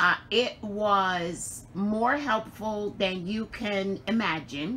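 At a very slow pace, a woman speaks in a bright, sharp tone with light background noise. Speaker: crafting channel host. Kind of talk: casual vlog chat. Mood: warm and grateful. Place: home room. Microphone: phone near.

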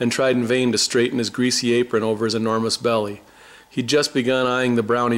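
This is plain reading aloud. The voice simply reads.

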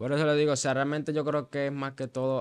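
This speaker has a Venezuelan accent and a fairly quick pace. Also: man. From Venezuela, Maracay (Aragua). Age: young. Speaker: church musician and worship leader; interview guest. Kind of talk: testimony; interview answer. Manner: halting, with frequent fillers and repetitions. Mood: earnest, reflective. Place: studio. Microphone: studio mic.

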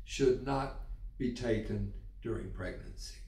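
The room echo is audible while a man talks at a medium pace. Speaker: health educator. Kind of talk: educational explainer. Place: home room.

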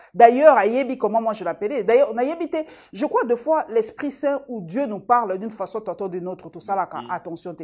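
A woman with an unremarkable speaking voice, fairly high pitch, lively intonation and big swings in loudness, at a moderate pace over a quiet background. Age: 50s. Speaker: journalist. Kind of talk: interview.

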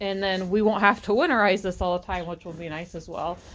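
At a moderate pace, the delivery keeps a fairly even intonation. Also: woman. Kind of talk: casual vlog chat. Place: farm machine. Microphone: phone near.

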